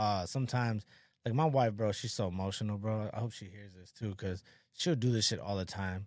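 A man with a normal speaking voice talks at a fairly quick pace in a fairly low pitch with ordinary variation, captured in a very clean recording with a silent background. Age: 30s. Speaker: podcast host. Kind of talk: casual chat.

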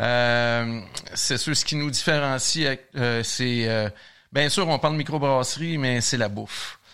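Very slowly, a man speaks with a bright, sharp tone. His pitch is medium, with ordinary variation. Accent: Quebec. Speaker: brewmaster. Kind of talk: casual interview.

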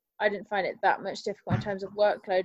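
At a very fast pace, a woman talks with a medium pitch. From Nottingham, East Midlands England. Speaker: university law student, society secretary. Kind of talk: casual interview. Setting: video call.

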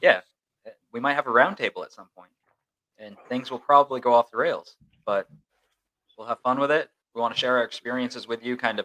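A man talks at a fairly quick pace with big swings in loudness. Long, frequent pauses break up a dry, close sound with no echo. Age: 20s. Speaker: sports reporter and podcast co-host. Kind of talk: casual chat.

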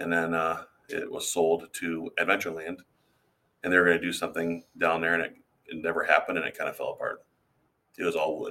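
A man with an Upper Midwest accent, talking at a very fast pace, with long, frequent pauses. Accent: Upper Midwest American. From Iowa. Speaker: teacher and tour boat captain. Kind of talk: interview. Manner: halting, many fillers.

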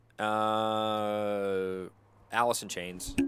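A man with an American accent is captured on a very clean recording with a silent background. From US Pacific Northwest.

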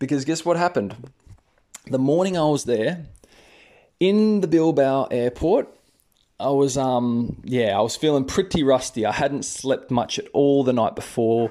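A man with an Australian accent talks fairly slowly, his pitch fairly high for a man, his tone dark and mellow, and his intonation lively. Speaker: English teacher and podcaster. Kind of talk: casual monologue, storytelling to learners. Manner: friendly, conversational, with fillers.

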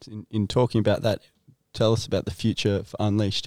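A man with an Australian accent speaks in a fairly low, dark, mellow voice with monotone, flat intonation, recorded very cleanly, dry and close with no echo and a silent background. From Nelson Bay, Australia. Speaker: podcast interviewer. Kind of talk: casual chat.

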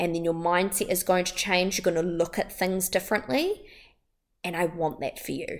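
In a New Zealand accent, a woman talks at a moderate pace and medium pitch with an upbeat, animated tone. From New Zealand, Wellington. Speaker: wellbeing podcast host. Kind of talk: solo motivational podcast talk.

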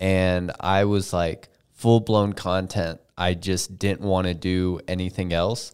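The recording is very clean and the background silent. A man's pitch sits very deep and low. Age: 20s. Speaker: podcast co-host and videographer. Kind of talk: casual chat. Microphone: mic very close to face.

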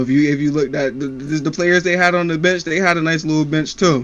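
Fairly even in intonation and moderate in pace, a man speaks in an ordinary speaking voice at a fairly high pitch. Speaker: podcast co-host. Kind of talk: casual sports banter.

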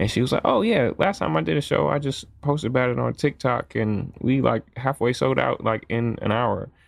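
Keeping his loudness very even, a man with an American accent and medium pitch talks at a moderate pace with lively intonation and hardly any pauses. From US Midwest, Jackson, Michigan. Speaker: composer and music producer. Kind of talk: casual podcast chat.

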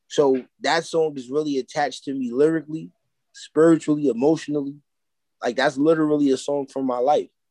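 A man talks at a fairly quick pace. His pitch is fairly high and his intonation fairly even. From New York City (Harlem). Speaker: musician and clothing entrepreneur. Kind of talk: casual interview.

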